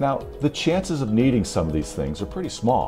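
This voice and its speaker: A man talking at a moderate pace, with clear music in the background. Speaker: public address announcer instructor. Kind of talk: tutorial. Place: home room.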